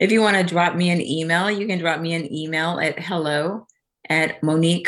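Speaking with a Southern US accent, a woman with a fairly low pitch goes at a fairly slow pace on a very clean recording with a silent background. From Louisiana (small town). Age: 50s. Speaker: spiritual mindset coach. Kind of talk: casual interview chat.

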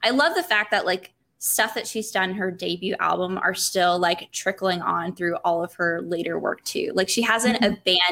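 This voice has a bright, sharp tone and a slight Southern US accent. It moves at a moderate pace with hardly any pauses and ordinary pitch variation. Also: woman, medium pitch for a woman. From South Carolina. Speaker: podcast guest. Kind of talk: casual chat.

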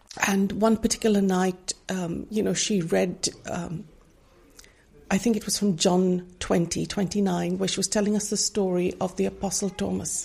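Her voice somewhat breathy and dark, mellow in tone, a woman speaks at a fairly slow pace with a medium pitch and monotone, flat intonation. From India. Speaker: Bible study ministry leader. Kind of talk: interview testimony.

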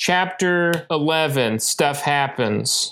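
A man's bright, sharp-toned voice at a very slow pace, on a very clean recording with a silent background. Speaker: book club podcast co-host. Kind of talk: casual chat.

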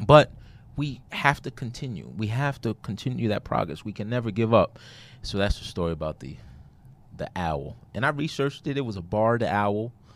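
A man's medium-pitched voice in an American accent, with lively intonation and vocal fry, at a moderate pace on a very clean recording with a silent background. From Brooklyn, New York. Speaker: author and consultant. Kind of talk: interview.

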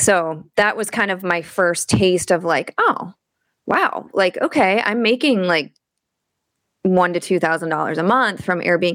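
With an ordinary speaking voice, a woman talks at a fairly slow pace in a medium pitch with ordinary pitch variation, on a very clean recording with a silent background. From Michigan. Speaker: photographer and real estate investor. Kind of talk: casual interview.

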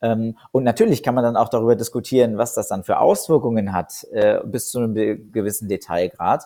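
The speech moves at a moderate pace with hardly any pauses. The recording is very clean, with a silent background. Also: man. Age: 20s. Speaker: founder of a youth-executive mentoring network. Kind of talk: interview. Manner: many filler sounds (äh, ähm).

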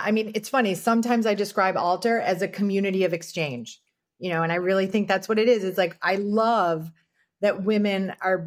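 A woman talks at a medium pitch in an ordinary speaking voice. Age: 50s. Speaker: founder of a women's community space. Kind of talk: casual chat.

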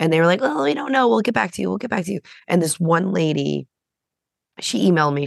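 A woman speaks with a very deep, low pitch. Her voice carries vocal fry. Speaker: podcast co-host. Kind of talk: casual chat.

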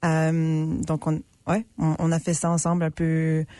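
A dark, mellow tone carries over a quiet background. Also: woman. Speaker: actress and artistic associate. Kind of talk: casual interview chat. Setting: radio studio.

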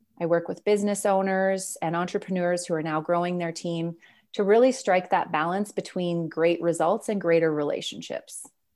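A woman's fairly low-pitched voice, a plain, everyday voice, fairly even in intonation at a moderate pace, in a very clean recording with a silent background. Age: 40s. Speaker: leadership coach and author. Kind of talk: interview.

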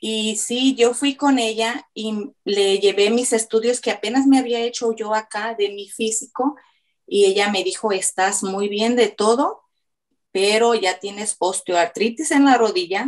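A woman's normal speaking voice, fairly high in pitch, at a fairly slow pace with ordinary pitch variation. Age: 50s. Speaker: weight-loss client. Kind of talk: testimony.

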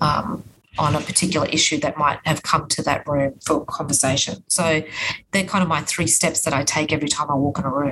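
A woman's very deep, low voice with an Australian accent, fairly quick and very even in loudness, fairly even in intonation, over noticeable background noise. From Queensland, Australia (Logan). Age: 50s. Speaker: politician. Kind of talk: interview. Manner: hesitant, many fillers.

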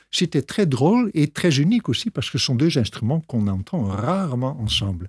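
In a very clean recording with a silent background and a dry, close sound with no echo, a somewhat breathy man speaks at a moderate pace and a fairly high pitch with very wide pitch swings. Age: 60s. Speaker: pastor and organist. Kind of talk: radio interview.

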